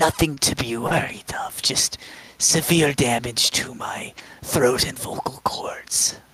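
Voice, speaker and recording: A whispering, strained put-on character voice at a fairly slow pace. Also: man. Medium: actual play. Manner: grandiloquent, flowery, hesitant.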